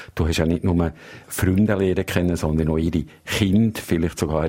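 The voice has a dark, mellow tone and a Swiss accent. It moves at a moderate pace. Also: man. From Switzerland. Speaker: foreign correspondent. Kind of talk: casual chat.

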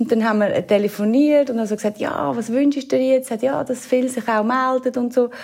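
With a Swiss accent, a woman speaks at a fairly quick pace and high pitch. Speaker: radio presenter. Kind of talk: casual interview.

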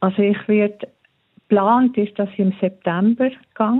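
Her fairly high-pitched voice moves at a fairly slow pace as this woman speaks. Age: middle-aged. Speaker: listener guest. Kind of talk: interview.

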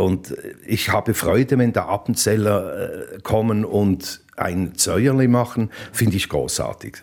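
A man talks at a fairly low pitch, with ordinary pitch variation. The background is silent and the recording very clean. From Basel, Switzerland. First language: Swiss German (Basel dialect) (speaking German). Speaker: hotelier and former radio presenter. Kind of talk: interview. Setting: on location at his hotel.

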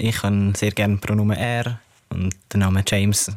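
The voice is a man's, pitched fairly low. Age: 20s. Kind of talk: interview.

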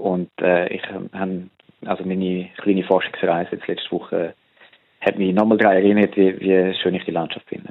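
The speaker holds a flat, monotone intonation. The pace stays moderate. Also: man, very deep, low pitch for a man. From Switzerland, Buchs, canton St. Gallen. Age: 40s. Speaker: political analyst and social scientist. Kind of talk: casual interview. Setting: phone call. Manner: hesitant with many fillers.

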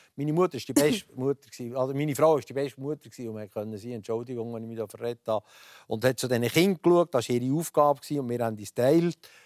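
Talking very fast with an Aargau accent, a man has a medium pitch, ordinary pitch variation, and big swings in loudness, recorded very cleanly against a silent background with a dry, close sound and no echo. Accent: Swiss German, Aargau dialect. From Switzerland, Aargau (Rothrist). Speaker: former politician and transport entrepreneur. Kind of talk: radio talk show interview. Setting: TV studio, broadcast live.

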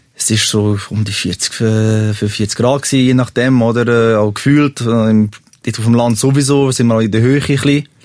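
A man speaks at a moderate pace in an ordinary speaking voice, medium in pitch, with fairly even intonation and hardly any pauses. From Switzerland, Serbian family. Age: 30s. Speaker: podcast guest telling a confession. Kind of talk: personal confession story.

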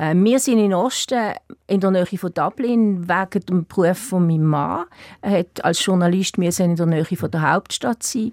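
A woman speaks at a fairly low pitch and moderate pace with a Swiss German accent and ordinary pitch variation. The recording is very clean, with a silent background and a dry, close sound with no echo. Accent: Swiss German accent, noticeable. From Switzerland, Basel. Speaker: writer. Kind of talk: radio interview. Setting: studio. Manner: hesitant, many fillers.

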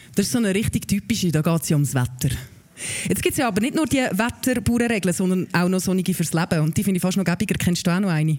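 This woman talks at a very fast pace with a medium pitch and lively intonation. Noticeable background noise runs behind her. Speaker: podcast host. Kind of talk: live podcast recording with audience, chat. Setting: live stage with audience at a festival.

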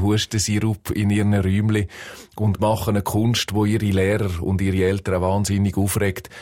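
At a fairly low pitch, a man with a Swiss accent speaks in a monotone, flat intonation at a moderate pace on a very clean recording with a silent background. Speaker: music journalist. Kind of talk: casual chat.

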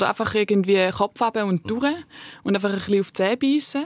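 Recorded with a dry, close sound and no echo, a woman talks very fast in a fairly high pitch with ordinary pitch variation. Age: 20s. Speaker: slam poet and art student. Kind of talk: casual chat.

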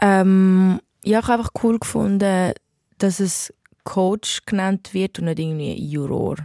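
A woman with a Zurich accent, very slow, medium in pitch, dark and mellow in tone, fairly even in intonation, with a dry, close sound and no echo. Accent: Zurich Swiss German. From Switzerland, Zurich. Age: 20s. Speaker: R&B singer. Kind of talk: interview. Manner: halting, many fillers.

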